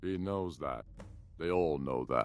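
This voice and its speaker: Putting on a character voice, a man drops his pitch very deep and low. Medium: video game. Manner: commanding, curt.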